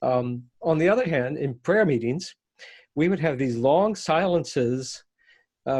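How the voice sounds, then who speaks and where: In an American accent, a man speaks at a fairly high pitch with ordinary pitch variation. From West Virginia, US. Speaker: reverend, interfaith minister. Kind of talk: interview. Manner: reflective, halting.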